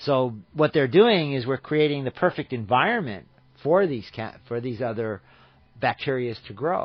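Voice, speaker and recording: A man's medium-pitched voice in an American accent, with lively intonation, a moderate pace and big swings in loudness. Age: 60s. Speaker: radio show guest on farming. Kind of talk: radio talk interview. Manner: halting with repetitions.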